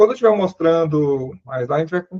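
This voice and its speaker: A man speaks in a high pitch with lively intonation. The sound is dry and close, with no echo. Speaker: seminary lecturer. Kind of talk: lecture.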